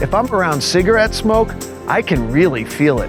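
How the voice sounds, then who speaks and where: A man speaks with music in the background. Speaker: infomercial host. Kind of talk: infomercial host talk to camera.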